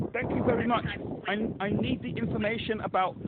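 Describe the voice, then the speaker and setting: A high-pitched man's voice against noticeable background noise. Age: 60s. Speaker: wheelchair user with a complaint. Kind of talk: phone call complaint. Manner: insistent; halting.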